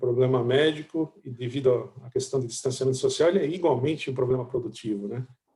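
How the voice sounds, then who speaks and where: A man's somewhat breathy voice with a dark, mellow tone at a fairly quick pace. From interior of São Paulo state (Itu), Brazil. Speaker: chief economist. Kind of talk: business presentation. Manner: hesitant, with many filler words.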